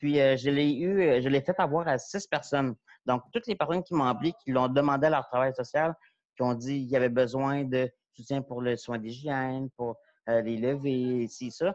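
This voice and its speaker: This man speaks at a moderate pace with ordinary pitch variation. The sound is dry with no echo, and the background is quiet. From Quebec. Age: 40s. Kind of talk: panel talk. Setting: video call. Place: home room. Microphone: earbuds.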